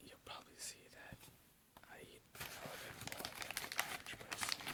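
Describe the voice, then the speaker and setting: A whisper at a moderate pace, with noticeable background noise behind it. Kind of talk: ASMR eating video talk to camera.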